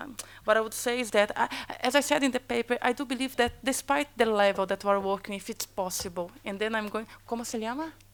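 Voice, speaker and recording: Her pitch fairly high, a woman speaks at a fairly quick pace with ordinary pitch variation. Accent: Portuguese. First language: Portuguese. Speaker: academic panelist. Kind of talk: panel debate answer. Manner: halting, many repetitions.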